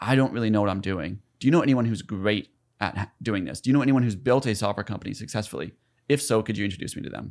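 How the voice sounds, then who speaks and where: A man with an American accent, fairly low pitch, a very fast pace and ordinary pitch variation, on a very clean recording with a silent background. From US South, South Carolina. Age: 30s. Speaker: entrepreneur and content creator. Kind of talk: podcast interview.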